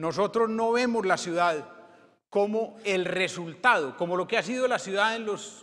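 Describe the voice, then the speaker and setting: A man talks at a fairly slow pace in a high pitch, with a bright, sharp tone. The background is quiet. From Colombia. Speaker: former mayor, politician. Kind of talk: conference keynote. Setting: stage with audience. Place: hall.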